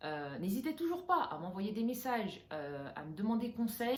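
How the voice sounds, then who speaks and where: Her pitch swinging very widely, a woman speaks with audible room echo. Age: 30s. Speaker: interior decorator and vlogger. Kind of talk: personal vlog talking to camera. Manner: hesitant, many filler sounds; casual, mixes English phrases.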